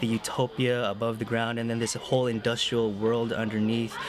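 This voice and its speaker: A man speaks at medium pitch and moderate pace. There is noticeable background noise. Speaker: film podcast host. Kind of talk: casual chat.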